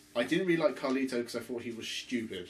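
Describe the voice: The speech comes fast with lively intonation, and the room echo is audible. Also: man, medium pitch for a man.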